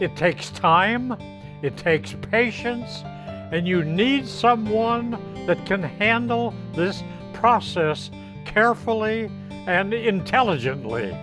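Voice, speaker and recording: A man talks very slowly while music plays clearly behind him. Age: 80s+. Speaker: home buyer client. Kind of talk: client testimonial. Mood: warm, grateful. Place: garden. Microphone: lapel.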